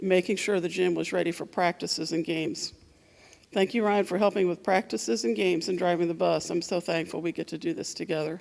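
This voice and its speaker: A woman's very fast speech, fairly low in pitch with vocal fry and ordinary pitch variation. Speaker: volleyball coach. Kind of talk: awards speech. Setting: school assembly. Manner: soft-spoken.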